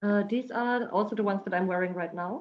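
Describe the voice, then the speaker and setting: Speaking with a non-native accent, a woman keeps a moderate pace and fairly even intonation. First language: not English. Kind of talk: product presentation on video call panel. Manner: halting, many fillers.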